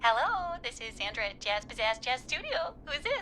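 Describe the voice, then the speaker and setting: A put-on character voice with a playful tone and very wide pitch swings, at a moderate pace amid clear background noise. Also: woman, high pitch for a woman. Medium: video game. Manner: breezy, playful.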